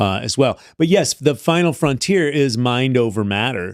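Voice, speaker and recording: A man with an American accent talks in a normal speaking voice at a medium pitch and a moderate pace, with lively intonation. The recording is very clean, dry and close, with no echo and a silent background. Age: 60s. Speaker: health and wellness coach. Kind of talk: podcast interview. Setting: studio.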